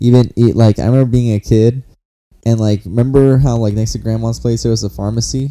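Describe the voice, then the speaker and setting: A man speaks at a fairly quick pace in a dark, mellow tone. His intonation stays monotone and flat. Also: medium pitch for a man. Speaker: podcast co-host. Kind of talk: casual chat.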